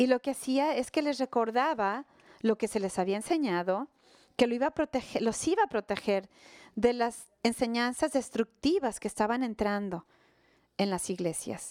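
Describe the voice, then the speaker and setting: In a very clean recording with a silent background, the sound is dry and close with no echo. A woman speaks at a fairly high pitch and a moderate pace, with lively intonation. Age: 60s. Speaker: pastor. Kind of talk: sermon. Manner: halting.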